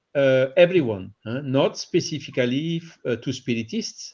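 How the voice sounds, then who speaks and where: Speaking with a French accent, a man uses a fairly high pitch, ordinary pitch variation and a moderate pace. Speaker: spiritist radio co-host. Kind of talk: panel discussion. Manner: halting, many fillers.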